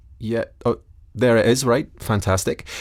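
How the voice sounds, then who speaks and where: A man with a Scottish accent talks at a moderate pace on a very clean recording with a silent background. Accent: Scottish, put on for story. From Scotland. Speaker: storyteller. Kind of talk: storytelling.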